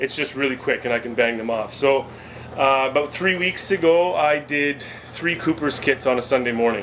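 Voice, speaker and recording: A man's voice, with ordinary pitch variation, is heard against noticeable background noise. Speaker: homebrewing video creator. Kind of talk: casual tutorial vlog. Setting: basement brew area. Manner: fast; hesitant with many fillers.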